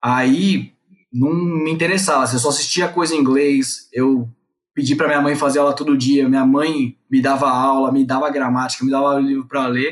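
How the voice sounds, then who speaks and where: A plain, everyday voice comes from a man speaking at a moderate pace. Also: very even loudness. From Brazil. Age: 30s. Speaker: company CEO. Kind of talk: interview storytelling.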